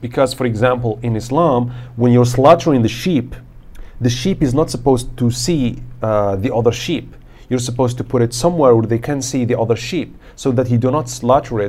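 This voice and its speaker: This man has a dark, mellow tone and speaks at a fairly quick pace. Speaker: podcast host. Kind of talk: casual conversation podcast. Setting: face to face studio recording.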